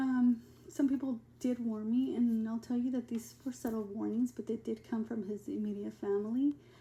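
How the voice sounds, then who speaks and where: A woman's somewhat breathy voice holds a fairly even intonation. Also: moderate pace. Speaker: abuse survivor and advocate. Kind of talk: personal testimony. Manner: halting, many fillers.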